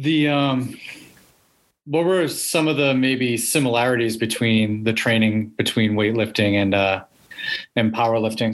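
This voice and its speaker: A normal speaking voice from a man, with fairly even intonation and medium pitch. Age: 30s. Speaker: podcast host and strength coach. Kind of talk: casual interview.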